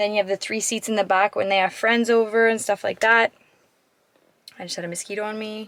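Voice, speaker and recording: A woman talks at a fairly quick pace in a monotone, flat intonation. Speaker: vlogger, mom. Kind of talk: casual vlog, car tour. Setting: inside a car. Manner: casual, filler-heavy.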